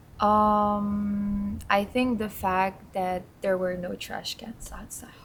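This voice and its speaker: A very slow, somewhat breathy delivery, monotone and flat in intonation, with big swings in loudness. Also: woman, medium pitch for a woman. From Netherlands. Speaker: intern. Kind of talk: casual chat.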